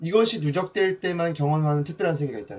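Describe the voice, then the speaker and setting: A man talking at a fairly quick pace. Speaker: mentor giving online lectures. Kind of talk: lecture. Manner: fast.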